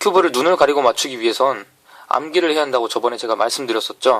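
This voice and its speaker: This man's voice is fairly high. He delivers his words very fast. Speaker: Rubik's cube tutorial instructor. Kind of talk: tutorial.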